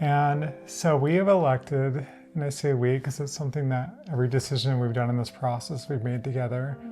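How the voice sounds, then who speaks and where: A woman's very deep, low voice at a fairly quick pace with ordinary pitch variation, music in the background. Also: hardly any pauses. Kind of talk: casual talk to camera.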